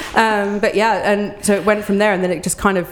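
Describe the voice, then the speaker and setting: The speaker is a woman. She talks with an English accent. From England. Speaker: children's book writer and cold water plunger. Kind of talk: casual interview. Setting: outdoors at a park trailhead.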